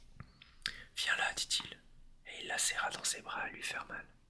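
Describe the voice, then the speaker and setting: The speech is whispered and very slow. Behind it there is noticeable background noise. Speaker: ASMR creator. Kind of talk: reading aloud. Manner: whispering.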